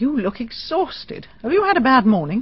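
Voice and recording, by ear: In a put-on character voice, a woman speaks at a moderate pace with a high pitch, big pitch swings and a husky, rough edge.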